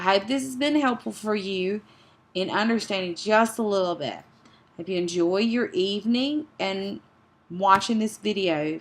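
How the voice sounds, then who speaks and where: A woman talks at a moderate pace with a medium pitch. It is a normal speaking voice. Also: ordinary pitch variation. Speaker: teacher. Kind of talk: tutorial.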